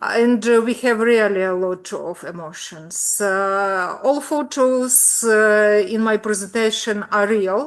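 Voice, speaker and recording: A woman with a Ukrainian accent and a fairly high pitch speaks at a very slow pace. She leaves hardly any pauses. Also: ordinary pitch variation. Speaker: pediatrics professor. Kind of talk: presentation. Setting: video call. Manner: halting.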